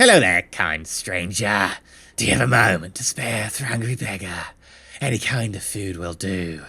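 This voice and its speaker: A man does a put-on character voice that is raspy and fairly low in pitch. He moves at a moderate pace with ordinary pitch variation. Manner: pleading.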